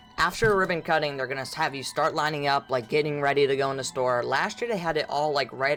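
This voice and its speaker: Speaking at a very fast pace with hardly any pauses, the voice runs over music playing in the background. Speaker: Halloween YouTuber. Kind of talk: casual vlog commentary. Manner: halting, stuttering; animated.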